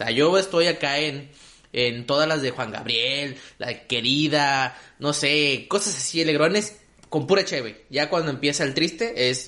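At a fairly slow pace, a man speaks in an animated tone with a bright, sharp sound. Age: 20s. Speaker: comedy podcast host. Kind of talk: casual chat.

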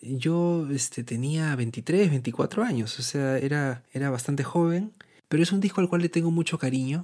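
A dark, mellow tone with ordinary pitch variation at a fairly slow pace. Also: man, fairly high pitch for a man. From Peru, Lima. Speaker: musician and composer. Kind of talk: interview. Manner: hesitant, many fillers.

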